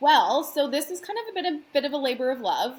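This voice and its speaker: A woman talks in a bubbly tone with lively intonation. Noticeable background noise sits behind her. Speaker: wedding planner and event rental owner. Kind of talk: casual interview chat. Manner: loud.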